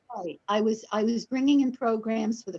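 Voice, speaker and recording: Somewhat breathy in tone, the woman's voice shows ordinary pitch variation. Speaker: business owner, event booking agent. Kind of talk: radio interview.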